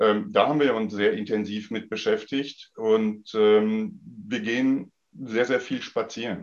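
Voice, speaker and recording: A man speaks at a very slow pace. He hardly pauses at all. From Sauerland, western Germany. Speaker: tennis club official. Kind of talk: casual chat. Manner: halting.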